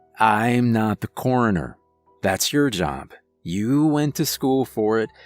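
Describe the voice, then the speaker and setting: A man's gruff, put-on character voice at medium pitch, fairly slow and with lively intonation, in a dry, close recording with no echo and faint music in the background. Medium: read story. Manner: gruff, grunting.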